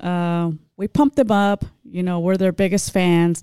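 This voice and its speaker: A woman with an American accent talks fairly slowly at a medium pitch in a dark, mellow tone, her sound dry and close with no echo. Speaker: podcast host. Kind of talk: casual interview.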